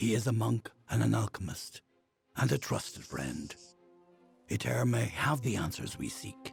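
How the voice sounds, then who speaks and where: A man's put-on character voice, fairly low in pitch and fairly slow, over faint background music. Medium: game stream. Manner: formal, measured.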